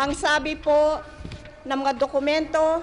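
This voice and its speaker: A woman's high-pitched voice. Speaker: president giving a public speech. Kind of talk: political rally speech.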